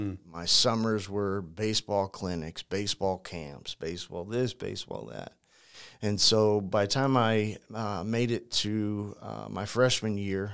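A man with a normal speaking voice, fairly low in pitch and fairly even in intonation, at a fairly slow pace on a very clean recording with a silent background. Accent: American. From St. Louis, Missouri, US Midwest. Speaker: crisis communications consultant, former prisoner. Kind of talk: interview, personal story.

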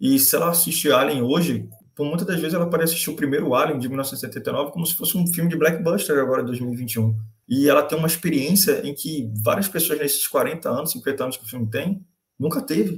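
A man speaks fairly quickly in a plain, everyday voice. His pitch sits fairly high, with lively intonation. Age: 20s. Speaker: podcast co-host. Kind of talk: casual chat.

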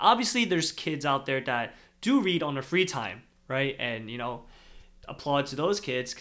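On a very clean recording with a silent background, a man with a fairly high pitch and a bright, sharp tone speaks at a moderate pace. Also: lively intonation. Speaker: podcast co-host. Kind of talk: casual chat.

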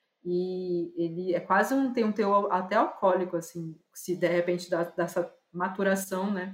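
A normal speaking voice from a woman, medium in pitch, fairly slow, with fairly even intonation and big swings in loudness. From Brazil, Pará (Belém). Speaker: visual artist and curator. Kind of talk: casual interview. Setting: remote call.

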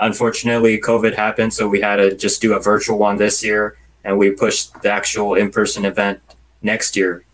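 With an American accent, a man keeps a fairly quick pace and fairly low pitch. His intonation is monotone and flat, his loudness very even. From Los Angeles, California. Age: 30s. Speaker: religious youth association president. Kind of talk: interview.

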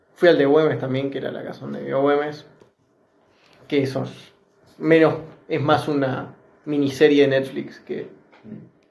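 A man with a fairly high voice speaks at a moderate pace in a flat monotone, with big swings in loudness. Long, frequent pauses break up his speech, and room echo is audible. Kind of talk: casual chat. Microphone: phone recording.

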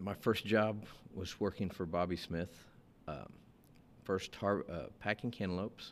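Speaking at a fairly slow pace with long, frequent pauses, a man uses a very deep, low voice with ordinary pitch variation. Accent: South Texas. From US, South Texas (Rio Grande Valley). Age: 50s. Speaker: produce business owner. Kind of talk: interview. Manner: halting, frequent repetitions.

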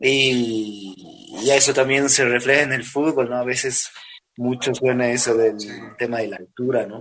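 A man in an ordinary speaking voice talks at a fairly slow pace with a medium pitch and fairly even intonation, though his loudness swings widely. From Bolivia, La Paz. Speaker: urban music singer. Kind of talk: interview.

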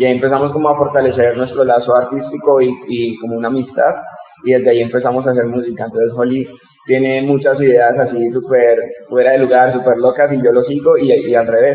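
A man's monotone, flat delivery at a very fast pace, with noticeable background noise. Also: medium pitch for a man. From Colombia, Bogotá. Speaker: rapper and educator. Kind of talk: interview.

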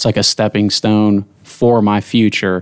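An unremarkable speaking voice talks with an American accent. The pace is moderate. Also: man. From Ohio. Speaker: college student athlete. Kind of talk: casual chat.

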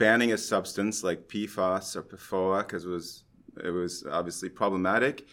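A man with a Canadian accent speaks at a moderate pace in an unremarkable speaking voice. His intonation stays fairly even on a very clean recording with a silent background. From Canada, Montreal. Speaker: environmental chemistry researcher. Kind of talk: interview. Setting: recorded at a conference.

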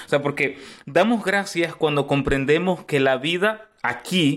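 A man speaks at a moderate pace in an ordinary speaking voice, with ordinary pitch variation. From Costa Rica (born in Nicaragua). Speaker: pastor. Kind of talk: interview conversation.

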